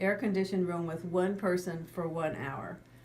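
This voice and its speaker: A woman with a fairly low pitch speaks at a fairly quick pace with fairly even intonation, and the room echo is audible. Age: 60s. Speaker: psychologist, client telling her recovery story. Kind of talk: testimony. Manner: halting, repeats words.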